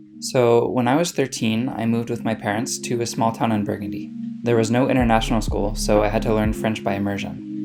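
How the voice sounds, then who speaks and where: Music plays in the background as a man talks at a fairly quick pace with hardly any pauses, his voice carrying an audible room echo. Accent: American. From United States. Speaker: language and culture vlogger. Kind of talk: casual vlog monologue. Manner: conversational, with fillers.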